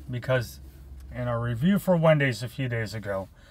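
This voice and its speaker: A man speaks in a somewhat breathy voice. The sound is dry, with no echo. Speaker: food reviewer. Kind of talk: casual chat. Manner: animated. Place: car. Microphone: phone near.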